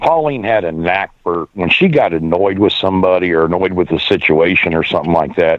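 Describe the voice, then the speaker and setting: With an American accent, a man speaks in a very deep, low pitch at a fairly quick pace. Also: ordinary pitch variation, very even loudness. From Pennsylvania, Erie. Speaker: radio show host, widower. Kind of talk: casual chat. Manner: halting.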